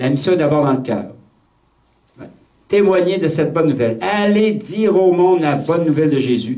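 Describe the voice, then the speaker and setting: A man with a fairly high pitch talks at a fairly quick pace with lively intonation and very even loudness, yet leaves long, frequent pauses. Audible room echo surrounds the recording. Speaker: priest leading a retreat. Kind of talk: retreat talk. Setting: retreat with audience of nuns. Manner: repeats words, hesitant starts.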